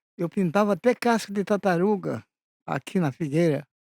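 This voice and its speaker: A man's high voice with a dark, mellow tone, very slow and with ordinary pitch variation, in a very clean recording with a silent background and a dry, close sound with no echo. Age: 80s+. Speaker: naive painter and poet. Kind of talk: interview answers.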